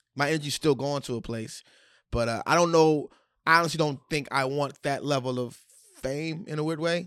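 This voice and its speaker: Here is a man with a normal speaking voice at a moderate pace. His pitch is fairly high, his intonation fairly even. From Washington DC. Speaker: stand-up comedian. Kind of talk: casual chat. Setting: studio.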